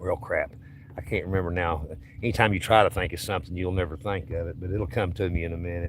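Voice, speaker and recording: A man talks at a very fast pace with an East Tennessee accent. His voice is very deep and low, with fairly even intonation. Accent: US Southern (East Tennessee). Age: 60s. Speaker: fishing streamer. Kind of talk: casual live-stream chat. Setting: outdoors on a boat.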